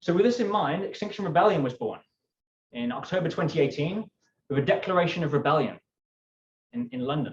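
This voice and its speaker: Very fast speech in a British accent, with lively intonation and long, frequent pauses. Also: man, high pitch for a man. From United Kingdom. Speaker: climate activist. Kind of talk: keynote talk. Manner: animated.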